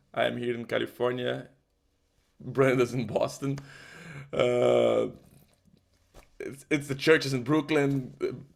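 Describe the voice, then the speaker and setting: Speaking at a fairly slow pace in a Portuguese accent, a man leaves long, frequent pauses. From Brazil. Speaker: musician. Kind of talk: testimony. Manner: halting, with false starts.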